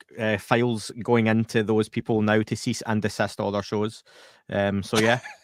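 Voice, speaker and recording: With a Scottish accent, a man speaks at a moderate pace in a monotone, flat delivery. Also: fairly low pitch for a man, dry, close sound with no echo. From Scotland. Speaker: podcast host. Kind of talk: casual chat.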